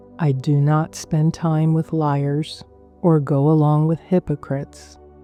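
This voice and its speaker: A woman speaks very slowly in a very deep, low voice with flat, monotone intonation, and music plays in the background. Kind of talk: scripture reading for sleep. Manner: slow, calming.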